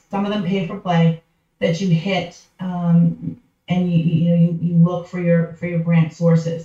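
In an American accent, this somewhat breathy voice has a dark, mellow tone and a monotone, flat intonation. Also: woman, fairly low pitch for a woman, fairly slow pace. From Massachusetts, outside Boston. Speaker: nonprofit consultant. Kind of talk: podcast interview.

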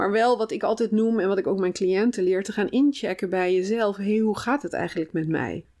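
At a fairly quick pace and with hardly any pauses, a woman talks in a medium pitch with a dark, mellow tone and ordinary pitch variation. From Brabant, Netherlands. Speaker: food psychologist. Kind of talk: casual interview.

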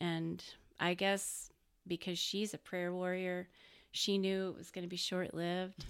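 Over a silent background in a very clean recording, a woman with an American accent talks at a fairly slow pace in a medium-pitched, monotone, flat voice. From Texas, Dallas-Fort Worth area. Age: 40s. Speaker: graphic designer. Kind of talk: casual chat.

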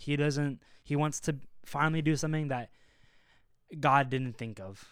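At a moderate pace, a man speaks in a normal speaking voice. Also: fairly high pitch for a man, fairly even intonation. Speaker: podcast co-host. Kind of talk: casual chat.

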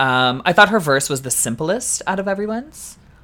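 A woman speaks at a moderate pace with a Canadian accent. Her tone is bright and sharp, and her pitch swings very widely. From Canada. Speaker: drag queen podcast co-host. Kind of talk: casual chat.

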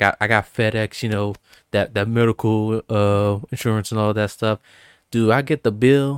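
Someone with a Texan accent speaks at a moderate pace on a very clean recording with a silent background. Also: man. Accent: Texan with Hawaiian roots. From Hawaii. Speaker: podcast guest and FedEx worker. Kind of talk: casual chat. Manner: casual, filler-heavy.

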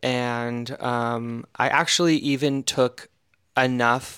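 This man speaks in a flat, monotone way with an American accent. His voice is medium in pitch, with a bright, sharp tone. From Eastern Oregon, US. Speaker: leather designer and podcast co-host. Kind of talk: casual chat.

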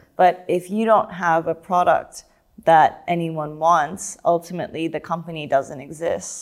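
A woman speaks in an unremarkable speaking voice, pitched fairly low. Her intonation stays fairly even at a moderate pace. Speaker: podcast host. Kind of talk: interview conversation.

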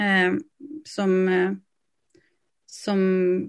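A woman's voice at medium pitch. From western Sweden, Lysekil. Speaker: theatre dramaturg. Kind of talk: interview conversation.

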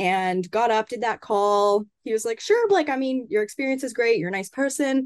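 A woman with a Canadian accent and a plain, everyday voice speaks at a moderate pace with hardly any pauses, fairly high pitch and ordinary pitch variation against a quiet background. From Canada. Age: 20s. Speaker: sports journalist. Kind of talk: casual interview.

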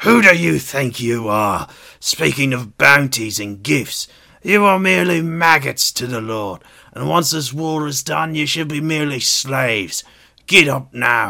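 Put-on character voice from a man, medium in pitch and moderate in pace. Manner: snarling contempt.

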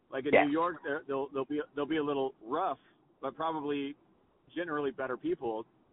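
A man with an American accent talks at a fairly quick pace in a fairly high pitch, leaving long, frequent pauses. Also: fairly even intonation. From Texas. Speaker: tech company founder. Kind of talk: casual chat. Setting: in a car. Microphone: poor audio quality.

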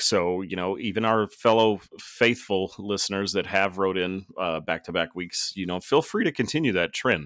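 A man with an ordinary speaking voice, fairly low pitch and an American accent at a moderate pace, in a very clean recording with a silent background. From Texas Panhandle. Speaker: podcast host, paramedic. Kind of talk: casual chat.

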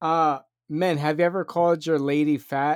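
The voice moves at a moderate pace on a very clean recording with a silent background. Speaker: podcast co-host. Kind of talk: casual comedy podcast chat. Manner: loud, close to the mic.

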